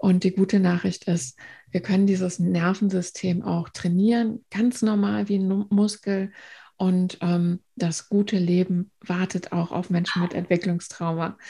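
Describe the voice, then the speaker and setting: A woman speaks fairly slowly at a medium pitch, with fairly even intonation and a dark, mellow, somewhat breathy tone. The recording is very clean, with a silent background. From northern Germany, near Bremen. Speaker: trauma therapist. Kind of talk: interview.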